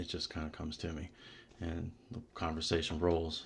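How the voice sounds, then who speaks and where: The background is quiet while the man talks. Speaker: podcast host, former cable technician. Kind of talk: casual interview chat.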